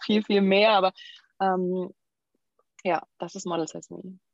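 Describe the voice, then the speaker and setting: Very slow speech with fairly even intonation comes through a dry, close sound with no echo. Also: woman. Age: 30s. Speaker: model and nutrition coach. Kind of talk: interview.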